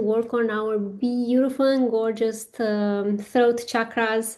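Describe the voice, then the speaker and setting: Very slowly, a woman speaks at fairly high pitch with fairly even intonation. Her tone is dark and mellow. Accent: non-native. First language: not English. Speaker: spiritual business coach. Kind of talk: guided workshop talk. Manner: hesitant, many fillers.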